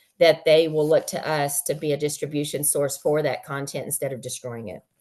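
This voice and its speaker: A woman uses a put-on character voice. It is raspy, with a very deep, low pitch. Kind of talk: business presentation. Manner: fast-talking.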